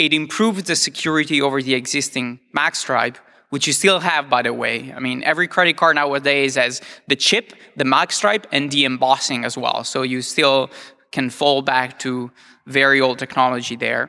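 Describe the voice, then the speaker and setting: This man talks in an Italian accent against a quiet background. His voice has a fairly high pitch and a bright, sharp tone. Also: ordinary pitch variation, moderate pace. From Italy. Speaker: security researcher. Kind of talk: lecture. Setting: stage with audience.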